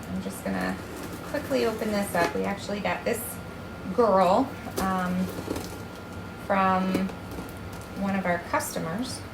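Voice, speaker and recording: A woman's medium-pitched voice at a fairly slow pace, with audible room echo and noticeable background noise. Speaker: chameleon breeder. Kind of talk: tutorial. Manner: casual; soft-spoken.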